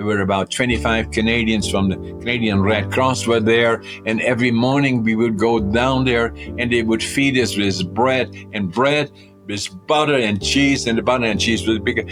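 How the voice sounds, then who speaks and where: With music in the background, a man with a Dutch accent speaks at a moderate pace and medium pitch with ordinary pitch variation. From Netherlands. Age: 80s+. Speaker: company CEO. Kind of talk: podcast interview answer.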